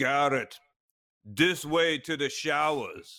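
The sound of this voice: A man puts on a character voice with a German accent, fairly high in pitch and very slow in pace.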